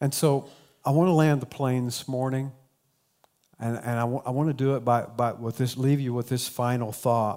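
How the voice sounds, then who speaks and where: In an American accent, a man with a dark, mellow tone speaks at a medium pitch and moderate pace with fairly even intonation. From southern Ohio, Appalachian. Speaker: pastor. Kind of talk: sermon. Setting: church.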